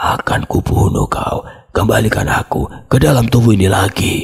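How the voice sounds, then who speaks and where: Loud and in a put-on character voice, a man speaks at a moderate pace and medium pitch. His voice is hoarse and raspy. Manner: menacing, snarling.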